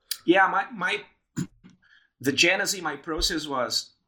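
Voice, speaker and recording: A man with a Portuguese accent, a bright, sharp tone and ordinary pitch variation, on a very clean recording with a silent background. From southern Brazil, Rio Grande. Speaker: PhD student and podcaster. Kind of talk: interview conversation.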